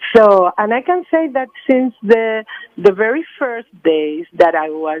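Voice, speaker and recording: With a non-native accent, a woman speaks at a fairly slow pace, her pitch swinging very widely. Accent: non-Jamaican foreign. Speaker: UN agency communications official. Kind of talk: radio interview. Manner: halting, many fillers.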